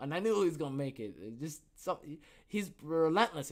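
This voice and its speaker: With an American accent, a man speaks at a moderate pace in an animated tone, his fairly high pitch carried by lively intonation. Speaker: podcast host. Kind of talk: casual solo talk. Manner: halting.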